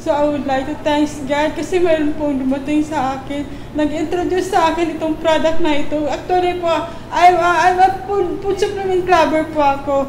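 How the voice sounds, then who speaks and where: Amid noticeable background noise and audible room echo, a woman with an extremely high pitch speaks at a moderate pace. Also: fairly even intonation. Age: 40s. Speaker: stroke survivor. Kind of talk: testimony. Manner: halting.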